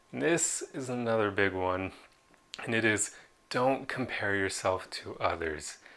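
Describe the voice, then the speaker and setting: A bright, sharp tone at a fairly slow pace. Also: man, fairly low pitch for a man, lively intonation. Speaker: self-improvement video creator. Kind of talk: motivational talk to camera. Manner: casual, conversational.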